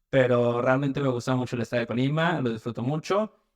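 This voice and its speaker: The dry, close recording with no echo captures a man speaking at a medium pitch. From Mexico City. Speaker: medical student and paramedic. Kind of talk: podcast interview. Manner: hesitant, with repetitions.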